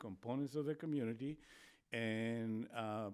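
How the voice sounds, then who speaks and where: In a very clean recording with a silent background, a man with a Spanish accent speaks at a medium pitch with fairly even intonation. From Spain. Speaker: public health official, doctor. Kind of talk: podcast interview.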